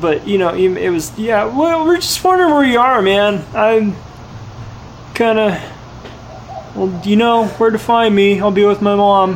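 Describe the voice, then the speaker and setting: In a put-on character voice pitched high, a man mumbles at a moderate pace with long, frequent pauses, ordinary pitch variation and very even loudness, over clear background noise. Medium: game stream. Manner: mumbling, slack, says 'man' constantly.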